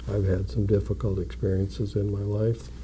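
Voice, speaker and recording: A man's very deep, low voice with very wide pitch swings, in an Upper Midwest accent. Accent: Upper Midwest American. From North Dakota. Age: 60s. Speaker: mayor. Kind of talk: interview. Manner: measured; quiet.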